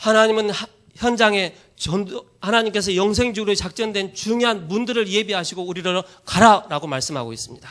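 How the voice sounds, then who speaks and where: Delivery comes at a fairly quick pace. Pitch variation is ordinary. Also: man, high pitch for a man. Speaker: pastor. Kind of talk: sermon. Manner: halting, pausing for interpreter.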